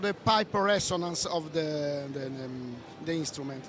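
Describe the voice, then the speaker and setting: Fairly slow speech in an Italian accent over noticeable background noise. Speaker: audio software developer. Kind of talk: product presentation. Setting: trade show booth. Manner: halting.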